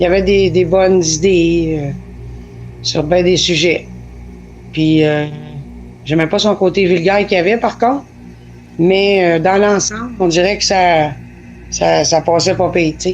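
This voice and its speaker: Over music in the background, the speech moves at a fairly slow pace with long, frequent pauses. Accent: Quebec. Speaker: interviewer. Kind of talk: interview. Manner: hesitant, many fillers.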